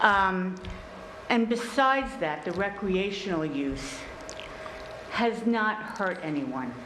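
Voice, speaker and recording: A woman speaks at a very slow pace, with very wide pitch swings and long, frequent pauses. Noticeable background noise and audible room echo fill the recording. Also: medium pitch for a woman. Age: 60s. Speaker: resident giving public comment. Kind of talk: public comment at town meeting. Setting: town board meeting. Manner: halting, many fillers.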